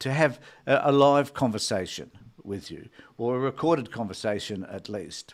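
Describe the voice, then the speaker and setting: The recording is very clean with a silent background, and the speaker has an Australian accent. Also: man. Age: 70s. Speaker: retired social worker and political commentator. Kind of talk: solo live stream talk. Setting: solo live stream.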